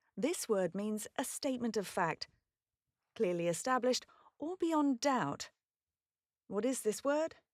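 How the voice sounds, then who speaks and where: A woman with a British accent speaks at a fairly high pitch and a fairly slow pace, with very wide pitch swings, in a dry, close sound with no echo and a very clean recording with a silent background. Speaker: voice actor. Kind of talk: pronunciation guide. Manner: clear, careful enunciation.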